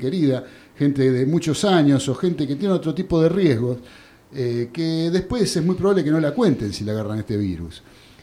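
With a Rioplatense accent, a man talks at a fairly quick pace in a fairly high pitch, his dark, mellow tone carried by lively intonation. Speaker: radio sports show host. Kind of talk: radio sports talk show. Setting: radio studio.

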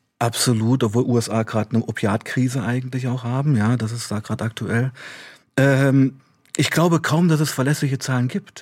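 A man with an unremarkable speaking voice talks at a medium pitch and moderate pace. His pitch varies in an ordinary way, on a very clean recording with a silent background. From eastern Germany, Saxony-Anhalt (Weißenfels). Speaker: author and former addict, addiction counselor. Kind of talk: radio interview.

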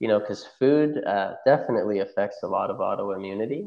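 Here a man with an American accent talks in a normal speaking voice at a moderate pace, his pitch fairly low. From Oklahoma, US. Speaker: chiropractor, functional medicine practitioner. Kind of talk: interview, casual chat.

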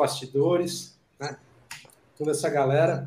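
A man speaks at a fairly slow pace with a fairly high pitch and monotone, flat intonation. Audible room echo is present. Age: 50s. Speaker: concert photographer and show host. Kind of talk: casual chat.

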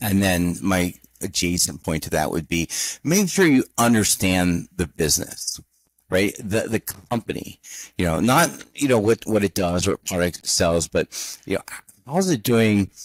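In a very clean recording with a silent background, a man talks at a moderate pace with fairly low pitch and lively intonation. It is an ordinary speaking voice, with a dry, close sound and no echo. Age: 50s. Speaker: interim CFO consultant. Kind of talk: interview.

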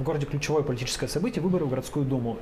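Over noticeable background noise and audible room echo, a man speaks at a fairly high pitch with ordinary pitch variation. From Russia, Urals (Yekaterinburg). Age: 30s. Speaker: journalist, news editor. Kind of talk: casual interview. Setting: bar.

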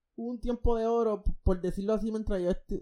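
A man's dark, mellow tone. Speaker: podcast host. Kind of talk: casual chat. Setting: recording from home. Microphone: new podcast microphone.

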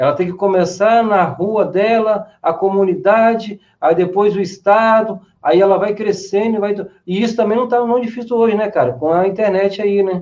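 A man talks at a high pitch. His intonation stays fairly even. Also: moderate pace. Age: 40s. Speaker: graffiti artist and social educator. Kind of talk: casual chat.

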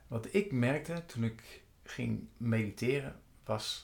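A man's somewhat breathy voice at a medium pitch. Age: 50s. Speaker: meditation coach. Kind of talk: monologue. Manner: halting.

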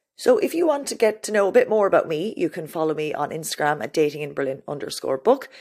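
On a very clean recording with a silent background, the speaker talks very fast in an Irish accent, with very wide pitch swings. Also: woman. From Ireland. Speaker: podcast host and author. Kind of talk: casual solo introduction. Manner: animated.

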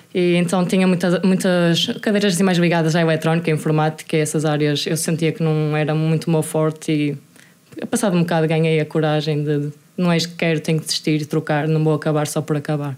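A woman with a very deep, low pitch speaks fairly quickly in a fairly even intonation. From northern Portugal, Vila Nova de Gaia / Santa Maria da Feira. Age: 20s. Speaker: taekwondo athlete. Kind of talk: casual interview.

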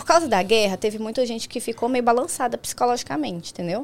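A woman talks at a fairly quick pace. She has an unremarkable speaking voice. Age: 20s. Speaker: nail technician. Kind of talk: casual chat.

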